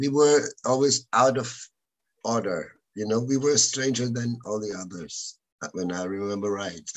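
A man speaks with a German accent at a medium pitch. His pitch varies in an ordinary way. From Germany, Cologne. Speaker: music producer and rock musician. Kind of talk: casual interview.

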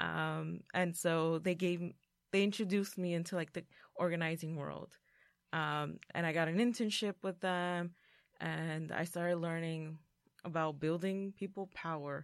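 A woman speaks in an ordinary speaking voice, fairly low in pitch with fairly even intonation, at a fairly slow pace. The recording is very clean, with a silent background. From Mexican-American, US. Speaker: parent organizer. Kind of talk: roundtable discussion.

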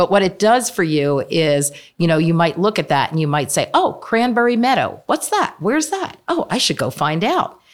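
Hardly pausing, a woman with an American accent speaks at a moderate pace with very wide pitch swings. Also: medium pitch for a woman. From Pennsylvania, Bucks County. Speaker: nonprofit land trust CEO. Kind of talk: interview.

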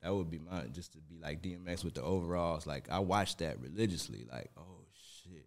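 Speech at a fairly quick pace runs with hardly any pauses and big swings in loudness, with vocal fry. The recording is very clean with a silent background. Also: man, very deep, low pitch for a man, ordinary pitch variation. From Detroit, Michigan (west side). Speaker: hip-hop historian. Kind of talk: casual chat.

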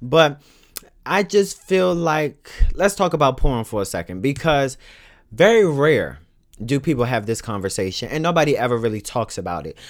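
In a very clean recording with a silent background, a man with a fairly high pitch speaks in an animated tone with very wide pitch swings. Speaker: podcast host. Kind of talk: casual monologue podcast with opinionated commentary. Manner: fast talker; animated, blunt and profane.

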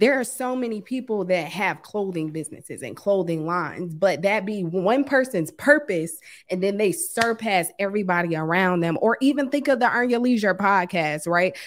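A woman with an American accent has an unremarkable speaking voice of medium pitch, with lively intonation and hardly any pauses, on a very clean recording with a silent background. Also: moderate pace. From US East Coast (Washington DC). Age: 30s. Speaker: forex trader. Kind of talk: casual chat.

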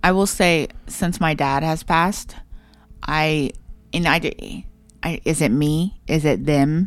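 Very slowly, a woman speaks with an American accent and a very deep, low pitch. Her pitch variation is ordinary and her loudness very even. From southern Ohio, Portsmouth. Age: 30s. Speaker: podcast co-host. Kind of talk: casual chat.

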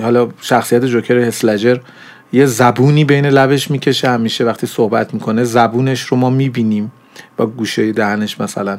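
A man speaks at a moderate pace, his medium-pitched voice delivered in a flat, monotone way. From Iran, grew up in Zahedan. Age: 40s. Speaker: animation director and university lecturer. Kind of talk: interview. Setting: studio.

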